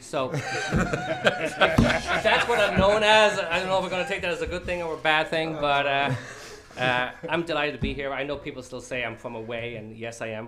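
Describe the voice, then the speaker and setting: With lively intonation, a man speaks in a room with audible echo. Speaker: police chief. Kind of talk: short acceptance speech.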